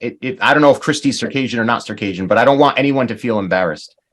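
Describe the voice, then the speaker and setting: Using vocal fry, a man talks at a very fast pace. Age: 40s. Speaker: language teacher. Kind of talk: online class.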